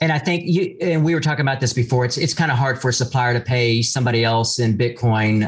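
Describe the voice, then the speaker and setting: His pitch sits in the middle range. This man's voice carries some breathiness. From Texas. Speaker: podcast host. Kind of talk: interview.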